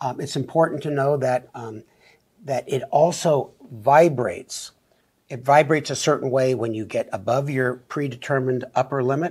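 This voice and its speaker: With a quiet background behind him, a somewhat breathy man speaks at a moderate pace with fairly even intonation. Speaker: doctor co-host. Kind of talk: explanatory talk-show conversation. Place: studio. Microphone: lapel.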